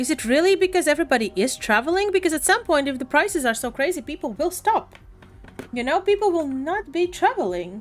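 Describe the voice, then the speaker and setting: Noticeable background noise sits behind a woman talking at a very fast pace. Her high voice moves in very wide pitch swings. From Latvia. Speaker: live streamer. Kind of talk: casual chat.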